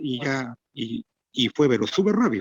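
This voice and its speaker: A man with an ordinary speaking voice at medium pitch and a fairly slow pace, in dry, close sound with no echo. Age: 60s. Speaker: interviewer. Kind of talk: interview.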